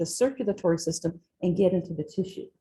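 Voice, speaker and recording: At a moderate pace, a woman talks in a somewhat breathy voice. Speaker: physiology professor. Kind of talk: lecture. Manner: casual, conversational.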